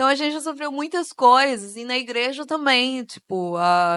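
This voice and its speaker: Against a quiet background, a woman speaks at a moderate pace. Her tone is bright and sharp. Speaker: author and speaker on racism. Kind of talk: panel talk / interview at a church event. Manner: casual, with many filler words.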